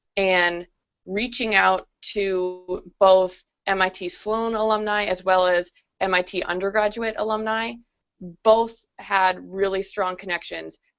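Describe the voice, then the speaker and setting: This is a plain, everyday voice at a fairly slow pace. Its intonation stays fairly even. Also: woman, medium pitch for a woman. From Boston area. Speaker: MBA student. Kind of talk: panel discussion.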